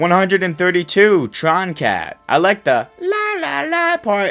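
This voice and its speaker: A man speaks with music in the background. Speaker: music reviewer, YouTuber. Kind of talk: casual commentary ranking songs.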